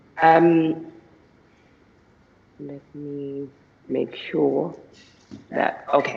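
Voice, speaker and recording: A man speaks at a very slow pace. He leaves long, frequent pauses between his words. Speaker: senior researcher. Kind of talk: conference talk. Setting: video call. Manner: halting.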